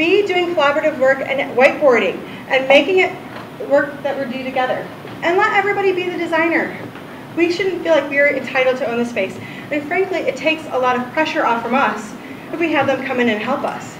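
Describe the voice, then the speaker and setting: A woman's high voice, very fast and lively in intonation, with noticeable background noise and audible room echo. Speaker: UX designer giving conference talk. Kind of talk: ignite talk. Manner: loud.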